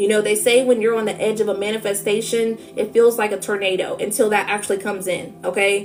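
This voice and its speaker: Noticeable background noise sits behind a woman speaking at a fairly quick pace with a fairly high pitch. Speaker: tarot reader. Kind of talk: spiritual reading livestream. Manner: fast; animated.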